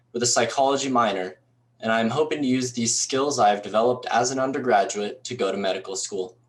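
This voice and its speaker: The man has an ordinary speaking voice at a medium pitch. He talks at a fairly quick pace with ordinary pitch variation. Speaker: university student, scholarship recipient. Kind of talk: prepared speech. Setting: recorded for virtual event. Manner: formal.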